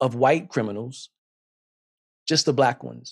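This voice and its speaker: A man with an American accent and lively intonation, recorded in a dry, close sound with no echo. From US South, South Carolina. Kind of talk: sermon.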